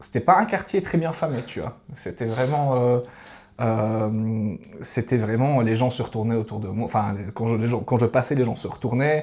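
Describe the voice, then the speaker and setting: A man at a medium pitch and fairly slow pace, with ordinary pitch variation, on a very clean recording with a silent background. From Switzerland, Valais. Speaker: podcast guest, traveller. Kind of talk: casual interview conversation. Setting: podcast studio with cameras. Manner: hesitant, many fillers.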